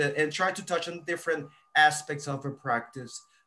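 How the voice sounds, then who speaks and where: A man speaks with a Spanish accent at a fairly quick pace, his pitch fairly high. His tone is bright and sharp, and his intonation is monotone and flat. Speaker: podcast host, lawyer. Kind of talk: interview.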